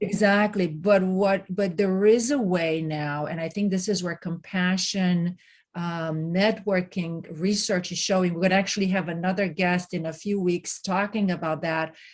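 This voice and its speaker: With hardly any pauses, a woman speaks at a moderate pace in a plain, everyday voice, medium in pitch, with fairly even intonation. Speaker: podcast host. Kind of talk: interview questions.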